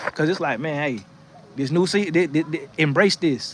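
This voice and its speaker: This man, with an American accent, keeps a moderate pace and ordinary pitch variation while noticeable background noise plays underneath. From North Florida. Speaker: livestream host giving encouragement. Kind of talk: motivational livestream talk with chat reading. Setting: outdoors on porch in rocking chair. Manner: casual, animated.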